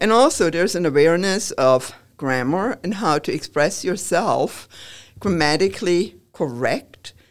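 A woman with a German accent, fairly low pitch, lively intonation and a fairly slow pace, on a very clean recording with a silent background. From Germany. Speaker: professor. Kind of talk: interview.

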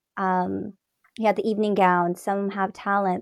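A woman with an unremarkable speaking voice talks at a fairly slow pace and medium pitch, with fairly even intonation. The recording is very clean, with a silent background. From Toronto area, Ontario, Canada. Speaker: pageant queen and entrepreneur. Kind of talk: casual interview chat.

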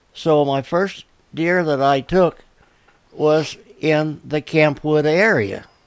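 A man with an American accent speaks at a very slow pace, leaving long, frequent pauses. His voice is fairly high, with ordinary pitch variation. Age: 80s+. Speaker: hunter. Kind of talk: storytelling. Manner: halting.

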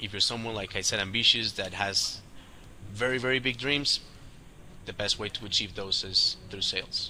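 At a moderate pace and with fairly even intonation, a man speaks over noticeable background noise. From Colombia. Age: 30s. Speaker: sales agency executive. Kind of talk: casual interview.

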